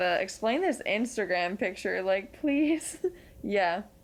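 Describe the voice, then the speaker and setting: A woman with a normal speaking voice, a medium pitch and an American accent talks at a fairly slow pace with lively intonation. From Pennsylvania. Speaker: podcast host. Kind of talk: casual chat.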